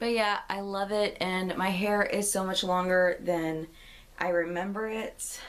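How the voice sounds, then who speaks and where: A woman with a plain, everyday voice, medium pitch, fairly even intonation and a fairly slow pace. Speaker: book vlogger. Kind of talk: casual vlog.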